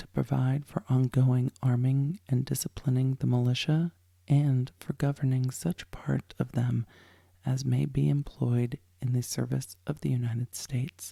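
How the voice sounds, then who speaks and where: Soft-spoken and somewhat breathy, a woman speaks at a fairly slow pace in a very deep, low pitch with a dark, mellow tone and fairly even intonation, in a dry, close sound with no echo. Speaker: lawyer and legal commentator, podcast host. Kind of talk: ASMR sleep story reading of a legal text. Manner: soft-spoken, slow, calming.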